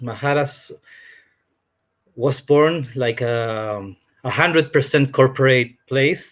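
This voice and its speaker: A man in a Spanish accent speaks at a very slow pace and a fairly high pitch, his intonation fairly even. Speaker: hotel representative. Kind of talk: presentation. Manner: halting.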